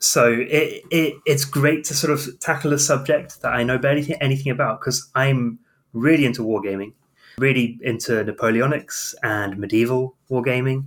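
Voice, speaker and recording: Here is a man with a southern English accent. His pitch is medium. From southern England. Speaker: medieval historian, podcast co-host. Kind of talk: casual chat.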